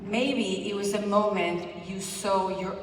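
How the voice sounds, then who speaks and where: A woman talks at a very slow pace with audible room echo and noticeable background noise. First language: Spanish. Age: 40s. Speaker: fitness coach. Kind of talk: motivational speech.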